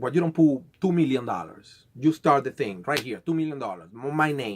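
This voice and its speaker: A man speaks at a moderate pace with a South American accent. His pitch is fairly high. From Venezuela. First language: Spanish. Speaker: conspiracy vlogger. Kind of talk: casual monologue. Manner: halting, with many repeated words.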